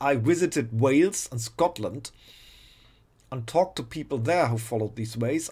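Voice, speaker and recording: A man with a non-native accent speaks at a moderate pace. The recording is very clean, with a silent background. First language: not English. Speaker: video blogger. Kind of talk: rant. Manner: halting, repeats words.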